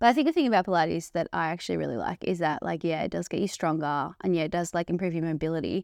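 A woman with a fairly low voice and vocal fry speaks at a very fast pace with hardly any pauses and ordinary pitch variation. The recording is very clean, with a silent background. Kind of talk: casual chat.

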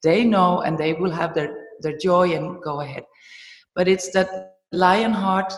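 A woman with a German accent speaks at a fairly slow pace in a fairly low pitch. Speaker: movement teacher and trainer. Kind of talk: interview.

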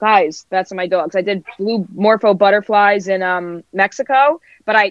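With an American accent, a woman speaks at a moderate pace and a medium pitch. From New Jersey and Brooklyn, New York. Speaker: mural artist. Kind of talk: casual interview chat.

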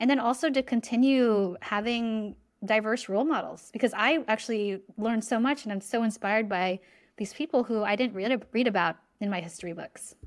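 Speaking at a fairly quick pace with a West Coast US accent and ordinary pitch variation, this voice comes through on a very clean recording with a silent background. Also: woman, fairly high pitch for a woman. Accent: General American, West Coast. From California. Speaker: executive coach and author. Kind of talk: interview. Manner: animated.

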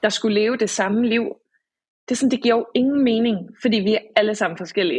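A somewhat breathy woman's voice. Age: 20s. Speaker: author and social psychiatry worker. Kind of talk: casual chat. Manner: halting.

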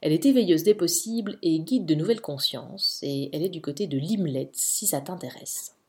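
A woman speaks at a moderate pace with a fairly low pitch. Her pitch swings very widely. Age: 30s. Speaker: podcast host, mother. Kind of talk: solo personal podcast monologue. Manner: casual, chatty.

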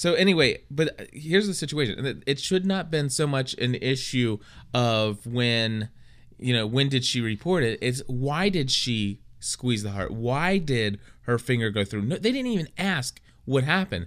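On a very clean recording with a silent background, a man with an unremarkable speaking voice talks at a moderate pace, medium in pitch and with lively intonation. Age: 30s. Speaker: podcast co-host. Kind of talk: casual chat.

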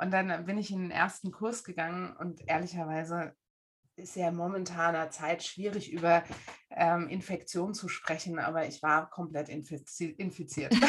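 A woman speaks in an unremarkable speaking voice, fairly low in pitch, with fairly even intonation. Her pace is fairly slow, and her loudness swings widely. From Germany, Frankfurt am Main. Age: 40s. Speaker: face reader. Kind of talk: casual interview.

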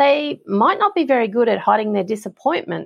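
In an Australian accent, a woman talks at a fairly quick pace. Her pitch is fairly high, and vocal fry comes through. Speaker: property management coach. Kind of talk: advice Q&A monologue.

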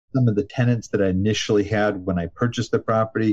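A man speaks at a fairly quick pace with medium pitch. His voice is somewhat breathy, with a dark, mellow tone. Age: 60s. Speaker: real estate investor. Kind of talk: interview. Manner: casual, understated.

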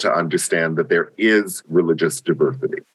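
A man with a normal speaking voice talks at a moderate pace with lively intonation. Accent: American. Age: 50s. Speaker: nonprofit leader and interfaith minister. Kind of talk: interview conversation.

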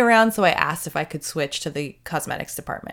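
In a very clean recording with a silent background, a woman with a Canadian accent uses an ordinary speaking voice, fairly low in pitch with ordinary pitch variation. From Canada. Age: 40s. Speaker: makeup artist and podcast host. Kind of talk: solo podcast monologue.

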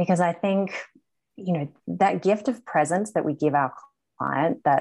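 Speaking at a fairly slow pace, a woman with a slight Australian accent uses lively intonation. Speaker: group coach. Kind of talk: interview.

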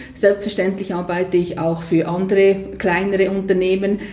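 The speech moves at a moderate pace. There is noticeable background noise. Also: woman. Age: 60s. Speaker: business consultant. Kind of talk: interview. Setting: host's premises by the water.

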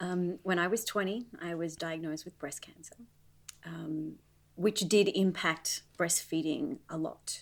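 A woman with an Australian accent speaks at a fairly slow pace. Her voice is fairly low, with ordinary pitch variation and big swings in loudness. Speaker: mom and former professional dancer. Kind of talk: casual interview.

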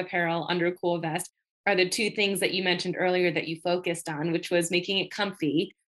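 A woman's plain, everyday voice with an American accent, medium in pitch, at a fairly quick pace. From Western New York. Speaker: podcast host, physical therapist. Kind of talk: casual interview.

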